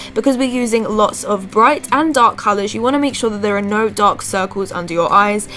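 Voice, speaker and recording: A woman's medium-pitched voice, with ordinary pitch variation and a moderate pace, comes through noticeable background noise. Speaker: beauty vlogger. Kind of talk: makeup tutorial voice-over.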